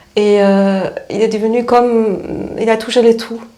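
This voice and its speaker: At a fairly slow pace, a woman speaks at a fairly high pitch with monotone, flat intonation. Noticeable background noise and audible room echo are present. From East Germany. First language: German (speaking French). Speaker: spiritual therapist. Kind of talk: interview. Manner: halting, many hesitations.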